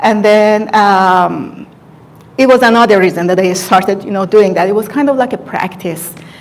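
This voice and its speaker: At a moderate pace, a woman with a non-native accent talks at a medium pitch with ordinary pitch variation. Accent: non-native English, noticeable. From Iran. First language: Farsi. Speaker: hairstylist and beauty content creator. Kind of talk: live stream talk, personal story. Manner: halting, many fillers.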